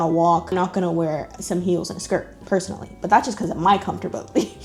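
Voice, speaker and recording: In an American accent, a woman talks at a very fast pace over music in the background. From Texas, USA. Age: 20s. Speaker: YouTuber. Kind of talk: casual talk to camera. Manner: casual, chatty.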